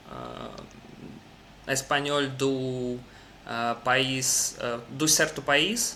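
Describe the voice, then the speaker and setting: A man speaks at a very slow pace. Audible room echo can be heard. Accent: non-native. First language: Russian (speaking Portuguese). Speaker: language learner. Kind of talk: casual chat. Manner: halting.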